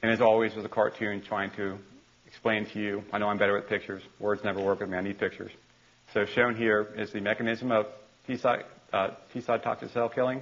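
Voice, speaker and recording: With a fairly low pitch and monotone, flat intonation, a man talks at a very fast pace. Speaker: university lecturer. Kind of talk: lecture. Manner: halting, with repeated words.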